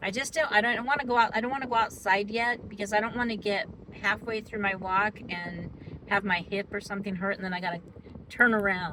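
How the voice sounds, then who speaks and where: Ordinary pitch variation marks this fairly quick speech. Behind it, background noise is noticeable. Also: woman. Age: 60s. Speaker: weight loss vlogger. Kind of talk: casual vlog monologue. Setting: parked car in parking structure. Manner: chatty, with many fillers.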